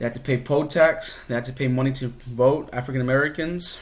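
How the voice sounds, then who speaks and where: A man speaks at a medium pitch. There is audible room echo. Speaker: history teacher. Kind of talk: recorded lesson. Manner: fast.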